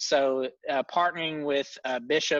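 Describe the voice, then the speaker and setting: A man with a Tennessee accent and a bright, sharp tone talks at a moderate pace and fairly high pitch. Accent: Southern US (Tennessee). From US South, Tennessee. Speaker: ministry co-founder. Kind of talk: casual chat. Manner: frequent filler words.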